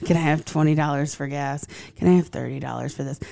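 The woman proceeds at a moderate pace, heard on a very clean recording where the background is silent. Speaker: podcast co-host. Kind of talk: casual chat. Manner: animated.

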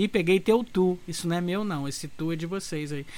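A man's voice with ordinary pitch variation on a very clean recording with a silent background. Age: 30s. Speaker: podcast host. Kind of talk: casual chat. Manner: animated.

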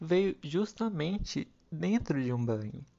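With lively intonation, a man talks very slowly. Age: 20s. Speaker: podcast host. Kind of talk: casual solo monologue.

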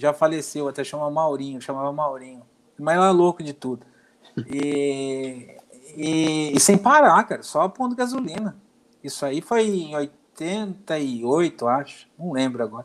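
With a normal speaking voice, a man talks at a fairly slow pace. His fairly high pitch carries lively intonation. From Brazil, Santo André (São Paulo). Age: 50s. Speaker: football fan, former youth athlete. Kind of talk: casual chat.

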